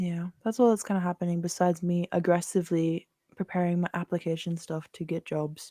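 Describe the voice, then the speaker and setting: Soft-spoken and dark, mellow in tone, the voice moves at a fairly quick pace with flat, monotone intonation. The sound is dry and close with no echo, on a very clean recording with a silent background. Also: woman, fairly low pitch for a woman. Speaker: podcast co-host, graphic designer. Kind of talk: casual chat. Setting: podcast recording.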